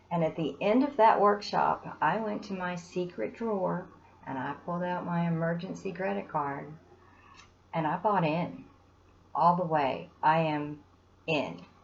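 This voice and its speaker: She has a plain, everyday voice, pitched fairly low for a woman. Her intonation is lively and her pace fairly slow. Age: 60s. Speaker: student giving testimonial. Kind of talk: testimony.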